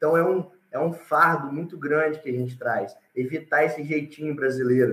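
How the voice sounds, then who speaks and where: In a plain, everyday voice, a man speaks at a moderate pace with a fairly high pitch and fairly even intonation. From Espírito Santo, Brazil (Alegre). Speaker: reforestation business founder. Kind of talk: live panel interview.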